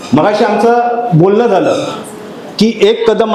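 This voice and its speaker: Audible room echo and noticeable background noise accompany a man speaking at a high pitch. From Konkan, Maharashtra. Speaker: social activist. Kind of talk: public speech. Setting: community event.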